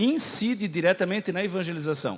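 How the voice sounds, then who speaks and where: A man speaks in a high pitch with a Santa Catarina accent and lively intonation. The recording is very clean against a silent background. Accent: Santa Catarina accent, sounds like Portugal. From Brazil, Santa Catarina. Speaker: priest and theology professor. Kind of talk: lecture.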